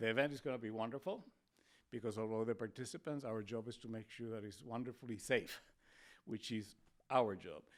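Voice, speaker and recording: Speaking in a Spanish accent, a man talks at a fairly quick pace. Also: medium pitch for a man, ordinary pitch variation. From Spain. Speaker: public health official, doctor. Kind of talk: podcast interview.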